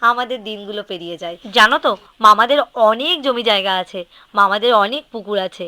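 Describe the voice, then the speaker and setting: The tone is bright and sharp, with ordinary pitch variation and big swings in loudness. The sound is dry and close, with no echo. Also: woman, fairly high pitch for a woman. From West Bengal, South Dinajpur. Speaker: vlogger. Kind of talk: casual vlog narration. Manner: chatty.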